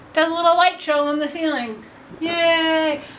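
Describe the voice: A woman does a put-on character voice at an extremely high pitch and a moderate pace, with clear background noise.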